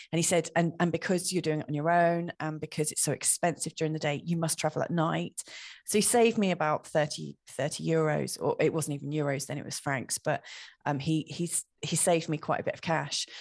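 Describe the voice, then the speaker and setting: A woman's very deep, low voice in a southern English accent, dry and close with no echo, against a quiet background. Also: fairly even intonation, fairly quick pace. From southeast England. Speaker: astrologer. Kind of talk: casual chat.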